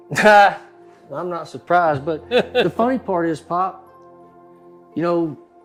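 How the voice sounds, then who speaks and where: Over background music, a man speaks very slowly at a high pitch with ordinary pitch variation. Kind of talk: podcast interview questions. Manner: casual, conversational.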